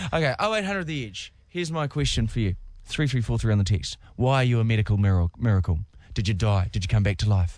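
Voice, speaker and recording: Over a quiet background, a man with a New Zealand accent talks very fast in a fairly low pitch with lively intonation. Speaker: radio host. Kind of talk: casual chat. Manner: animated.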